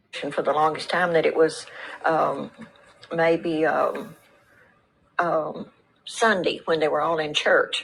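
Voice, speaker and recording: A woman talks in a Texan accent. Her pitch is fairly low. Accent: Texan Southern US. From Texas. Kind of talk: interview answer.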